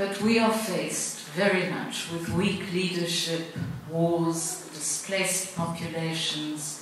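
A woman's fairly low voice at a very slow pace, with ordinary pitch variation, strong room echo and light background noise. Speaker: foundation chairperson. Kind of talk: prepared speech. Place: hall.

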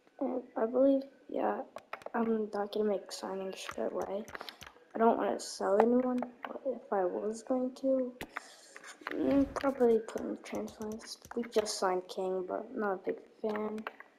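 Against noticeable background noise, a woman with a fairly high pitch speaks at a fairly slow pace with ordinary pitch variation. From Turkey. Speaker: gaming YouTuber. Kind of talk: gameplay commentary. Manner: casual, hesitant with fillers.

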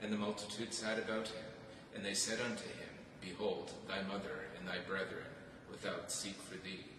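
In a room with audible echo and noticeable background noise, a man with a fairly low pitch speaks at a moderate pace with monotone, flat intonation. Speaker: clergyman leading prayer. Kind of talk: scripture reading and responsive prayer. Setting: church. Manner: formal, measured, reverent. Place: church. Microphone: camera far.

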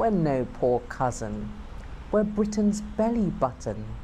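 Over light background noise, a woman speaks at a very slow pace. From United Kingdom. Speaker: performance poet. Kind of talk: poetry reading. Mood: proud, warm.

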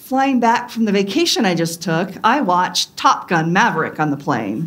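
Her pitch swings very widely as a woman talks at a moderate pace. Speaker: pastor. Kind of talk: sermon. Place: church.

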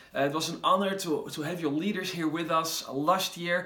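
A Dutch accent, with audible room echo. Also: man. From Netherlands. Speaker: pastor. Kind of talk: promotional video message; promotional invitation address to camera. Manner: animated. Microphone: phone near.

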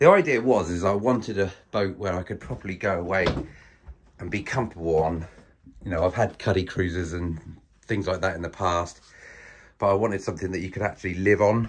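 At a fairly quick pace, a somewhat breathy voice speaks with ordinary pitch variation. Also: man, very deep, low pitch for a man. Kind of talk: casual vlog chat. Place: boat. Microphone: phone near.

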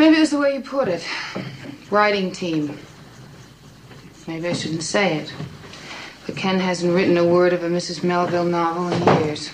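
Using a put-on character voice, a woman sounds strained, pitched fairly low with ordinary pitch variation, moving at a moderate pace broken by long, frequent pauses, with clear background noise behind her. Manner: tired, strained.

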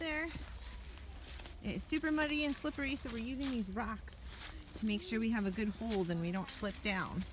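The sound is dry with no echo. Noticeable background noise is present. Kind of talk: casual vlog chat. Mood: warm, encouraging. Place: forest. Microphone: phone near.

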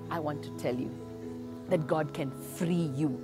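Clear music sits behind a woman who speaks at a fairly slow pace. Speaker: minister. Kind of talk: sermon and prayer. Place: garden.

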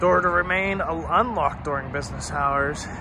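Amid noticeable background noise, a man talks at a fairly slow pace in a dry sound with no echo. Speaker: vlogger exploring closed places. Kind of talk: casual vlog chat. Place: street. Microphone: phone near.

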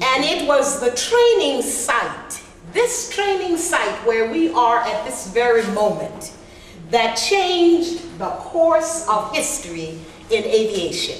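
Against light background noise and audible room echo, a woman talks in a high voice with very wide pitch swings. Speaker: master of ceremonies. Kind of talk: ceremonial speech. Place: meeting room. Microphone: camera far.

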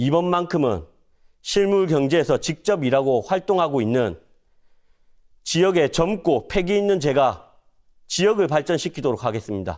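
At a moderate pace, a man with a fairly high pitch speaks with lively intonation and long, frequent pauses. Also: quiet background. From South Korea, North Gyeongsang (Cheongsong); North Gyeongsang, South Korea. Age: 30s. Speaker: parliamentary candidate; candidate. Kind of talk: campaign speech. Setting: studio. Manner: formal. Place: studio.

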